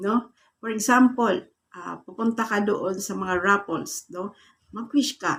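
A woman with a fairly high pitch talks at a fairly slow pace. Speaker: YouTube vlogger giving manifestation tips; vlogger giving a prosperity ritual tutorial. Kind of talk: guided meditation-style instructions for a morning manifestation ritual. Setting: video channel address to viewers. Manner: polite, repeating 'po' and 'guys' while guiding step by step. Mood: calm, earnest, soft. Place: home room. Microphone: phone near.

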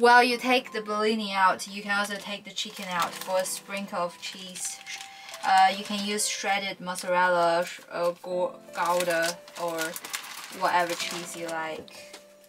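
Fairly even intonation from a woman at a moderate pace, with music in the background. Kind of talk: cooking tutorial. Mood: cheerful and relaxed. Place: kitchen.

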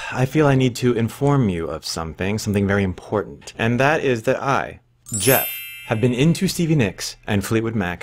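A man's fairly low-pitched voice with music in the background. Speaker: vlogger. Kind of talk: casual vlog chat. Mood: wry, humorous storytelling. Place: home room. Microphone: webcam.

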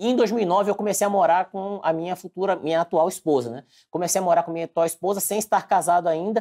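Against a quiet background, a man talks at a very fast pace in a high pitch with a dark, mellow tone. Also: ordinary pitch variation, hardly any pauses. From Bahia, Brazil (Porto Seguro); Bahia, Brazil. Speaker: civil servant and online exam-prep teacher; online exam-prep teacher. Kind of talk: interview. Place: office. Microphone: lapel.

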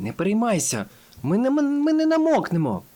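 A man puts on a character voice pitched high. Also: moderate pace. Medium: read story.

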